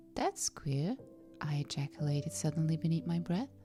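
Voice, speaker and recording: A calm, soothing voice over music in the background. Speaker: audiobook narrator. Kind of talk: audiobook narration of a classic mystery, read as a sleep and relaxation story. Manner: calm, soothing, relaxed.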